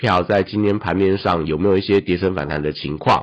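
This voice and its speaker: In a normal speaking voice, the speaker moves at a fairly quick pace with ordinary pitch variation. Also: man. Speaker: stock market analyst. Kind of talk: market news briefing.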